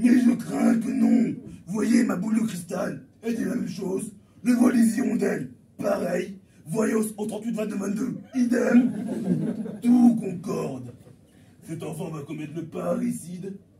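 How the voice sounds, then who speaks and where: Putting on a character voice, a man speaks in a high pitch with ordinary pitch variation at a moderate pace, leaving long, frequent pauses, with a slight echo. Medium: stage play. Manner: matter-of-fact, deadpan.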